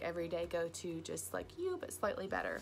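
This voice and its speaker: An American-accented woman. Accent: Southern US, stronger when nervous. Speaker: beauty vlogger. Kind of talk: makeup tutorial with casual chat. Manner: chatty, frequent fillers.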